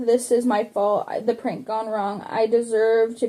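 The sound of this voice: An unforced reading voice carries the clip.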